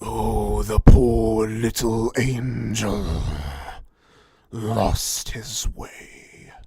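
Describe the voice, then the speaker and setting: Very slowly, someone delivers a raspy, put-on character voice. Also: man. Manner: eerie, taunting.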